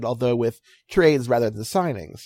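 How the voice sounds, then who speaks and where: The speech is mumbled. It comes on a very clean recording with a silent background. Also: man, dry, close sound with no echo. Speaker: baseball writer. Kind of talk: casual interview chat. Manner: fast, mumbling, excitable.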